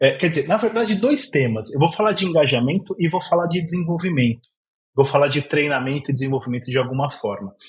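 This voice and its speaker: In an interior São Paulo accent, a man speaks at a very fast pace, somewhat breathy and fairly high in pitch, with lively intonation. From Brazil, interior of São Paulo. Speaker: podcast host. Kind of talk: podcast interview.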